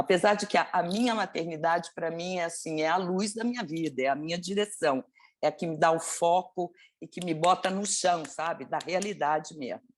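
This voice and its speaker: A woman with a fairly low pitch uses an unremarkable speaking voice at a moderate pace with ordinary pitch variation. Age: 60s. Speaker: actress. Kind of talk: interview.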